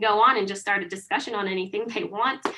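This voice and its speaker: This woman's voice sits at a fairly high pitch. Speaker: software demo presenter. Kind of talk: product demo. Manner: fast.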